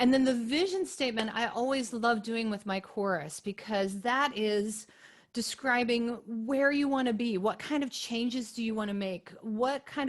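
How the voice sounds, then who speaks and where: Speaking at a moderate pace with hardly any pauses, a woman uses a normal speaking voice, her fairly high pitch moving with ordinary variation. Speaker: chorus director and webinar presenter. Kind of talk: webinar presentation. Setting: video call webinar with screen share.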